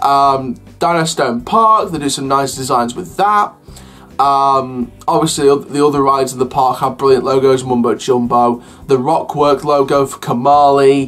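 Over faint music in the background, a man speaks at a moderate pace with ordinary pitch variation. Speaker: theme park news vlogger. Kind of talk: casual vlog commentary. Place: home room.

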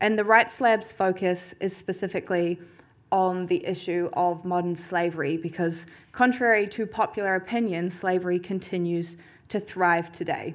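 A woman speaks with a British accent. Her intonation stays fairly even. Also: medium pitch for a woman, moderate pace. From England. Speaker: academic researcher; presenter. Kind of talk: conference presentation. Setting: stage with audience. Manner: formal. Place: hall. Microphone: podium.

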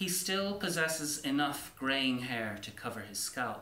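A man's bright, sharp voice at medium pitch, slow in pace, with big pitch swings and strong room echo.

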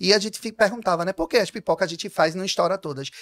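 A man speaks with a high pitch. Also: quiet background. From Brazil, Pernambuco (Pojuca); Pernambuco, Brazil. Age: 30s. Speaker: artist manager and influencer; influencer. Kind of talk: interview. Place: studio. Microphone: studio mic.

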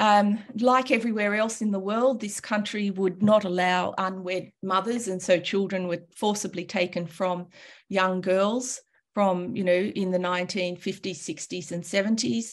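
Against a quiet background, a woman with an Australian accent talks at a fairly slow pace in a medium pitch. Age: 60s. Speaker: calligrapher and teacher; teacher. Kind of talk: presentation. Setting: video call. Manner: animated. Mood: warm, informal, humorous. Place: home room. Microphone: webcam.

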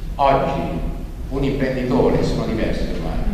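The speech moves at a fairly quick pace. There is strong room echo and noticeable background noise. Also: man. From not native to Abruzzo. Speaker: regional association president opening a political conference. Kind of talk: conference speech. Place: hall. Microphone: podium.

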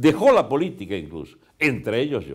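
With vocal fry and very wide pitch swings, the speaker goes at a moderate pace over a quiet background. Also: man. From Venezuela. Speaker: veteran politician; interviewee. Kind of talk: long-form interview; interview answer. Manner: halting with frequent word repetitions. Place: studio. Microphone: lapel.

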